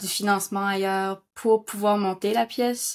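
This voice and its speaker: A woman of medium pitch, monotone and flat, at a fairly slow pace in a very clean recording with a silent background. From northern New Brunswick, Canada (Kedgwick). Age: 20s. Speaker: actress and playwright. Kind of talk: interview testimony. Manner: halting, many hesitations.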